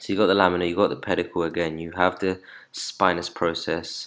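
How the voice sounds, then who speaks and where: A man's very deep, low voice in a monotone, flat delivery, on a very clean recording with a silent background. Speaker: anatomy tutor. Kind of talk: lecture. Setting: screen-recorded video lesson. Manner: fast talker.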